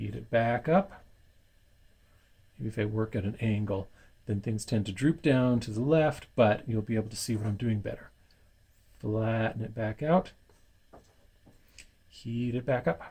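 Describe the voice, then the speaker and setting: A man with a medium pitch and a dark, mellow tone speaks at a fairly slow pace, leaving long, frequent pauses. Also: ordinary pitch variation. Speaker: glass bead maker. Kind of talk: tutorial. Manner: loud.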